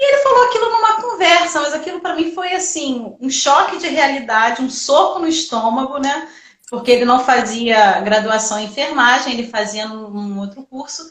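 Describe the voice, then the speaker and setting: With very wide pitch swings and big swings in loudness, a woman speaks in a high voice at a moderate pace, hardly pausing. Both audible room echo and noticeable background noise are present. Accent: Rio de Janeiro. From Rio de Janeiro, Brazil. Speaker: nurse and entrepreneurship teacher. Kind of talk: live stream talk. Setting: online live stream. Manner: talkative.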